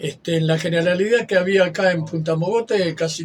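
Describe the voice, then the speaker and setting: With a Rioplatense accent, a man speaks at a high pitch and moderate pace with ordinary pitch variation against noticeable background noise. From Argentina, western Buenos Aires area. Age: 80s+. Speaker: retired lifeguard. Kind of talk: interview. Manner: halting.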